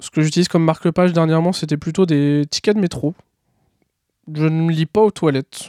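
Dry and close with no echo, the voice has a dark, mellow tone and fairly even intonation. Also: man, very clean recording, silent background. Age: 30s. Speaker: bookseller. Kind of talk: recorded testimony.

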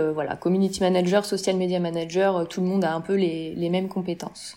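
Delivered at a fairly quick pace, the dark, mellow voice holds a monotone, flat intonation. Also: woman. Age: 30s. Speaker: social media manager. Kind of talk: interview.

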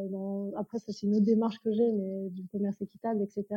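A woman's somewhat breathy, dark, mellow voice at a fairly quick pace, with a dry, close sound and no echo. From France. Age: 30s. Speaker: ayurveda practitioner. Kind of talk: interview.

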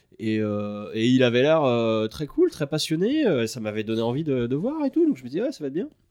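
The speech moves at a moderate pace. Hardly any pauses break it up. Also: man. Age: 30s. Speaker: video editor and director. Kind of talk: casual chat.

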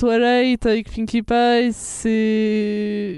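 The woman's tone is dark and mellow. She pitches her voice fairly high. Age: 20s. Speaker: animation artist. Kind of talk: casual chat.

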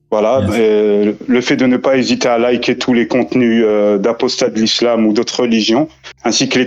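Noticeable background noise sits behind speech that moves at a fairly slow pace with fairly even intonation. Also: man. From France. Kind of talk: casual chat.

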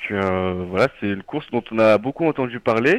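A man speaks at a fairly quick pace and a medium pitch with lively intonation. The sound is dry and close, with no echo. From Nord-Isère, France. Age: 20s. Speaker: engineering student. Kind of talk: radio interview. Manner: halting.

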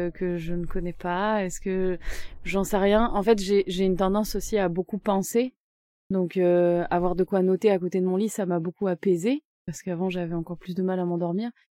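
At a moderate pace, a woman of medium pitch speaks in a dark, mellow tone with fairly even intonation. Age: 30s. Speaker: real estate advisor. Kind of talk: interview.

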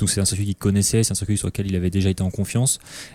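A man talks with a dark, mellow tone at a fairly low pitch. The sound is dry and close with no echo, on a very clean recording with a silent background. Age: 20s. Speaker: motorcycle racing team staff. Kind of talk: casual chat. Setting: bar.

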